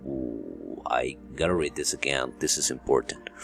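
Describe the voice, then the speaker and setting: Music sounds in the background. Over it, a man talks at a moderate pace. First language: Spanish. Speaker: YouTuber reading books. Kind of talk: reading aloud. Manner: halting.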